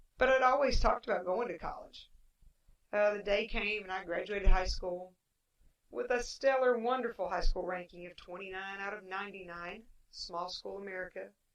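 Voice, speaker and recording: A woman speaks with an Appalachian accent. Her pitch is medium. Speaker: podcaster, former teacher. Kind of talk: personal monologue podcast.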